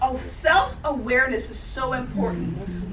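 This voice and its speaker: Amid noticeable background noise and audible room echo, a woman speaks in an animated tone at a fairly slow pace. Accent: Southern US. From Georgia, US South. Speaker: life coach, conference speaker. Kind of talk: motivational talk.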